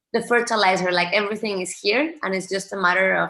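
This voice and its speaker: Her tone bright and sharp, a woman with a non-native accent speaks at medium pitch with fairly even intonation. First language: not English. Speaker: forest therapy panelist. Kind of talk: panel discussion.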